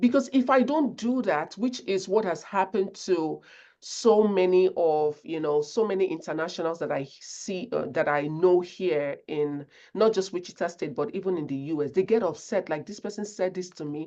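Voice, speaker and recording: Against a quiet background, a woman with a Nigerian accent talks at a moderate pace in a medium pitch, her dark, mellow tone carried by lively intonation. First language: not English. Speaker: conflict resolution speaker. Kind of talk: webinar presentation.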